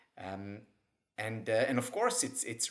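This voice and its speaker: A man's voice with ordinary pitch variation and a quiet background. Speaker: guest. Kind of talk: interview answer. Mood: warm, smiling. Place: home room. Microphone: webcam.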